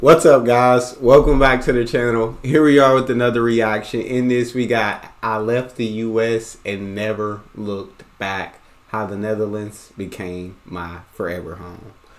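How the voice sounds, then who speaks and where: An ordinary speaking voice from a man with an American accent, medium pitch, ordinary pitch variation, a fairly slow pace and big swings in loudness. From United States. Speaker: reaction video host. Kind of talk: casual reaction commentary.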